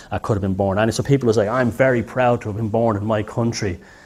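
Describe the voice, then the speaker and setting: Over noticeable background noise, a man with an Irish accent talks at a very fast pace and fairly low pitch. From Ireland. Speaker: lecturer. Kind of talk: lecture. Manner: halting, many false starts.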